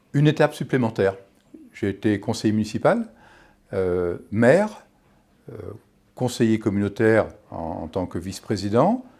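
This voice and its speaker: The man's voice sits at a fairly low pitch with ordinary pitch variation. He leaves long, frequent pauses. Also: moderate pace. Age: 60s. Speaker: local election candidate. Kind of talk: campaign statement. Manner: hesitant, with fillers and restarts.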